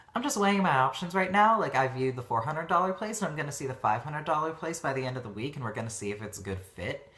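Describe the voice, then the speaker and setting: With hardly any pauses, the speaker rushes along at a very fast pace over noticeable background noise. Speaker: vlogger. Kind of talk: casual vlog monologue.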